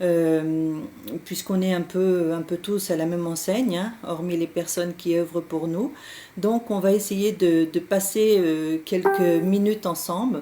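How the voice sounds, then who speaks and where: Music plays in the background as a woman speaks at a very slow pace. Her pitch is fairly low and her intonation fairly even. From France, Berry region. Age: 60s. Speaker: medium. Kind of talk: live stream talk. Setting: Skype live stream. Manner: hesitant, many fillers.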